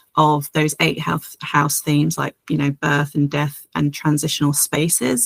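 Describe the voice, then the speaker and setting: A woman is speaking. She has a British accent. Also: dry, close sound with no echo. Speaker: astrologer. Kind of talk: astrology horoscope monologue. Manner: hesitant, many filler words.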